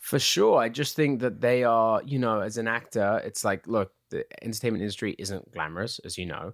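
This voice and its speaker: Hardly pausing, a man speaks with an English accent on a very clean recording with a silent background. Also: medium pitch for a man, ordinary pitch variation, moderate pace. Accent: English, uses American accent for roles. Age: 20s. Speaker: actor. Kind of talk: casual chat.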